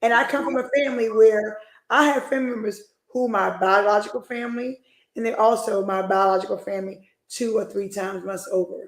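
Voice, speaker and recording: Speaking at a fairly quick pace, a woman with an ordinary speaking voice uses a fairly high pitch and ordinary pitch variation. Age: 40s. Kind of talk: casual chat.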